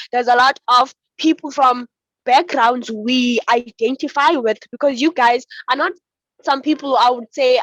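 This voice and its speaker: Her high-pitched voice comes across with a dry, close sound and no echo. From South Africa. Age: young. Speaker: climate activist. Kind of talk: panel discussion. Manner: halting.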